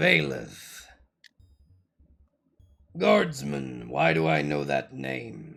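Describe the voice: A put-on character voice, raspy and growling, moves at a very slow pace with long, frequent pauses. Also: man, very deep, low pitch for a man, fairly even intonation.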